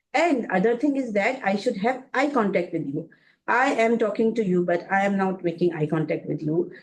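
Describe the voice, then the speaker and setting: A woman with a Pakistani accent talks at a moderate pace with lively intonation. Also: medium pitch for a woman. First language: Urdu. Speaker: career workshop speaker. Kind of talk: webinar talk. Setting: online webinar. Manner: halting, many fillers.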